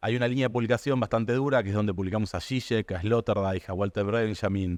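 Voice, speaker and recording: A man talks at a fairly quick pace with an Argentine accent. The sound is dry and close, with no echo. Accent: Rioplatense Argentine Spanish. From Argentina. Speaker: publisher. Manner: fast.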